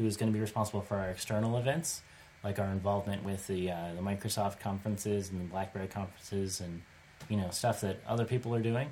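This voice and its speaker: A man's fairly low, somewhat breathy voice shows ordinary pitch variation. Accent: American. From United States. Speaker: podcast host. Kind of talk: casual chat.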